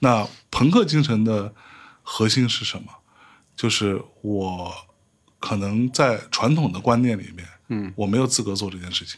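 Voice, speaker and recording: In a northeastern Chinese accent, a man speaks at a fairly low pitch and fairly slow pace with long, frequent pauses. Loudness swings widely in a very clean recording with a silent background. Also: ordinary pitch variation. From Northeast China. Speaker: podcast host. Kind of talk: casual chat. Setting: studio.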